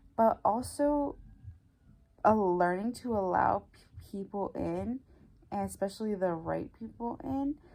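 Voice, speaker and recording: A woman with a dark, mellow tone speaks at a medium pitch and a fairly slow pace. Her intonation is lively, broken by long, frequent pauses. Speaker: lifestyle vlogger. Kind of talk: casual vlog talk. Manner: halting, stuttering.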